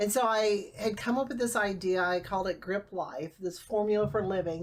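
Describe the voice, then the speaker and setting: At a fairly quick pace, a woman with a medium-pitched voice and ordinary pitch variation speaks over noticeable background noise. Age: 50s. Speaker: author and speaker on family inheritance. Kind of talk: casual interview.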